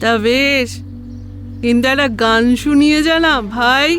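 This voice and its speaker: Over clear music in the background, a woman uses a put-on character voice, high in pitch, at a fairly slow pace. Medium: read story. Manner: sweet, wheedling.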